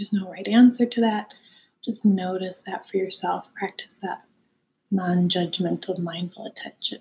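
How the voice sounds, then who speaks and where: This woman has a dark, mellow, somewhat breathy tone that is calm and soothing. Her intonation stays fairly even. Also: medium pitch for a woman. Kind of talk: guided meditation. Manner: calm, unhurried and soothing; gently conversational, inviting rather than commanding.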